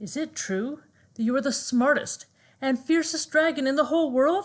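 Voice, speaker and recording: The delivery is a put-on character voice, paced moderately. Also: woman, high pitch for a woman. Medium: read story.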